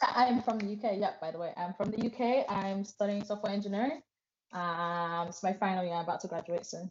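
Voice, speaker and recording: This woman has a British accent and talks at a fairly quick pace. Her voice sits at a medium pitch with ordinary pitch variation. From England. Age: 20s. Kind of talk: interview testimony.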